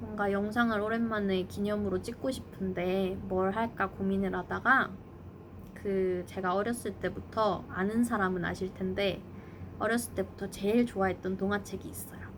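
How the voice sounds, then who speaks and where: A woman with a normal speaking voice talks at a medium pitch and a moderate pace with fairly even intonation. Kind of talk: casual talk to camera.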